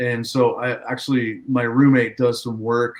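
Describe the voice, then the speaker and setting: A man with an American accent and a plain, everyday voice, medium in pitch, at a moderate pace. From Southern California, San Diego. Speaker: farmer. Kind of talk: casual chat.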